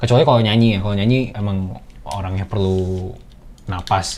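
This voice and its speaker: This man's voice sits fairly low in pitch. He talks at a moderate pace with ordinary pitch variation. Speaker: singer and rapper explaining song production. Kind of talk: behind-the-scenes commentary. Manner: casual, slangy, with hesitations.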